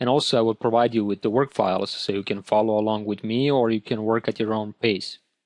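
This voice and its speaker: A man's medium-pitched voice with a Croatian accent at a fairly quick pace, dry and close with no echo, over a quiet background. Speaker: photo retouching instructor. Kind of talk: tutorial.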